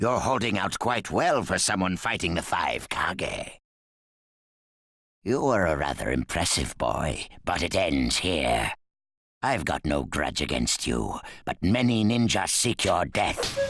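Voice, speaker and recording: Putting on a character voice, a man speaks fairly slowly at a very deep, low pitch, with very wide pitch swings and very even loudness. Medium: short film. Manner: dry, cool.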